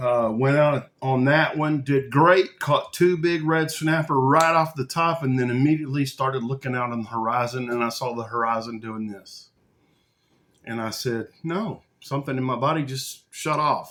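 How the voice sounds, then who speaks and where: This man talks with a Texas accent. His pitch sits in the medium range. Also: ordinary pitch variation, moderate pace. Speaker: video podcast host. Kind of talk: casual monologue. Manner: conversational, folksy.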